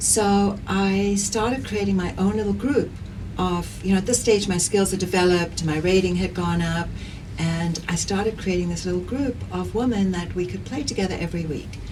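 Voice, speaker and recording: With a South African accent, a woman speaks at medium pitch and a moderate pace with ordinary pitch variation. Audible room echo and noticeable background noise fill the recording. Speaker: pádel player and community organizer. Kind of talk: interview conversation.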